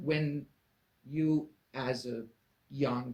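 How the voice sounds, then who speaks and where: A man's somewhat breathy, medium-pitched voice with ordinary pitch variation. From Iran. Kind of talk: interview host.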